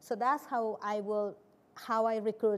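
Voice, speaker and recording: A woman's fairly high voice with a Spanish accent and fairly even intonation. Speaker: nonprofit executive director. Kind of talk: panel discussion.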